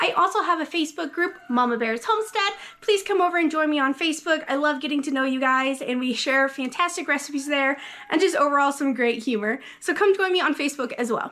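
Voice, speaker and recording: At a very fast pace, a woman speaks in a raised, projected voice. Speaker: home cooking vlogger. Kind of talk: casual vlog chat. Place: kitchen. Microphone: phone near.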